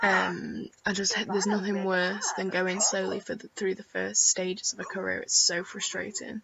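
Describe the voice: A woman's croaky voice with vocal fry, a slightly husky edge and a fairly bright tone barely moves in pitch. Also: medium pitch for a woman, moderate pace.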